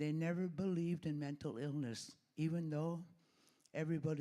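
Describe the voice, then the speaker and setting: Fairly high in pitch, this man has a dark, mellow tone. He moves at a moderate pace. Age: 70s. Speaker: audience member, retired nurse. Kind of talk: audience comment at conference Q&A.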